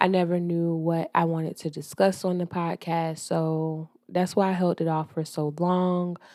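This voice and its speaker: A woman with a Southern US accent speaks at a moderate pace and a fairly low pitch with monotone, flat intonation, in a dry, close sound with no echo. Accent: Southern US (Georgia). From US South, Georgia. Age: 30s. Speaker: podcast host. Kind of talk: casual monologue podcast. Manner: casual, hesitant with fillers.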